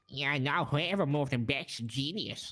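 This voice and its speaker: Using a put-on character voice, a man speaks at a fairly high pitch and moderate pace with ordinary pitch variation. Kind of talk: comic overacting. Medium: game stream.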